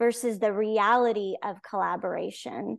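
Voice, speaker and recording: A woman talks at a fairly slow pace. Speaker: education author. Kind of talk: casual interview conversation.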